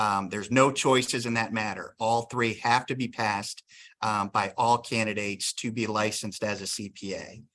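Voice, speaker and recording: A man with a Northeastern US accent speaks in a fairly low, flat, monotone voice that has a bright, sharp tone. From Northeastern Pennsylvania. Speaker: state licensing board executive director, attorney. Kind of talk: workshop presentation. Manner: tends to talk fast; frequent filler ums.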